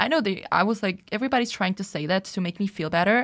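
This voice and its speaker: A woman with a Czech accent speaks at a very fast pace in a medium pitch. The recording is very clean, with a silent background. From Czech Republic. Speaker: podcast co-host. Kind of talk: casual chat.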